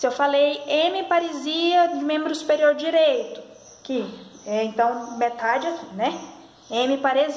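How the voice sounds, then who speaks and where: The intonation is lively, and the pace is fairly slow. Audible room echo and noticeable background noise come through. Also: woman, high pitch for a woman. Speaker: health sciences student or educator. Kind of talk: tutorial.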